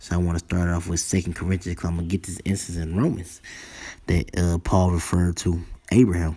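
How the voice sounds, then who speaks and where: Very fast whispering from a man, very clean recording with a silent background. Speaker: religious teacher. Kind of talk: sermon. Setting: at home.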